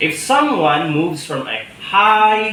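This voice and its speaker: Recorded with noticeable background noise and audible room echo, a man with a Visayan Filipino accent speaks with very wide pitch swings. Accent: Filipino (Cebuano) English. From Philippines, Cebuano-speaking region. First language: Cebuano. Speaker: teacher. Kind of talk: interview answer. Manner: hesitant, many fillers.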